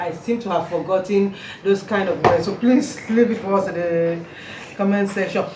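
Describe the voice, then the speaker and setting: With a Nigerian accent, a woman speaks at medium pitch and a moderate pace, with ordinary pitch variation over noticeable background noise. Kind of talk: casual talk to camera.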